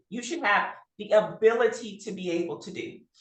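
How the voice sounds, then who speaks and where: With audible room echo, a woman's fairly high voice moves through very wide pitch swings. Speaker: health workforce trainer. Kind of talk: webinar presentation. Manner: fast.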